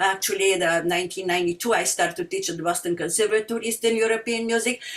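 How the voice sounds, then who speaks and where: Speaking very fast with a strong Bulgarian accent, a woman keeps a medium pitch and fairly even intonation. Noticeable background noise is present. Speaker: singer and music teacher. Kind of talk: community talk. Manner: halting, many fillers.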